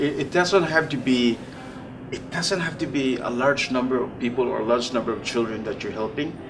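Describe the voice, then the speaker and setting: A man with a medium-pitched voice speaks at a fairly quick pace with ordinary pitch variation, over noticeable background noise and audible room echo. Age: 60s. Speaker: charity volunteer. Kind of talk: interview conversation.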